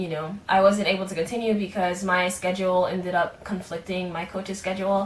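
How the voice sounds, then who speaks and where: A woman is speaking. Her pitch sits in the medium range. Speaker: aspiring singer-songwriter vlogger. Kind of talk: casual vlog monologue. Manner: many filler words, hesitant.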